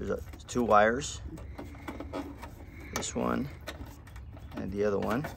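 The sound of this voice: At a slow pace, a man with a fairly low pitch and fairly bright tone speaks with vocal fry and ordinary pitch variation.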